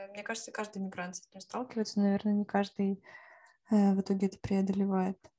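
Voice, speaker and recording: Very fast and monotone, a woman speaks at a medium pitch in a dark, mellow, somewhat breathy tone with big swings in loudness, the sound dry and close with no echo. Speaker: podcast co-host. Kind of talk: casual chat.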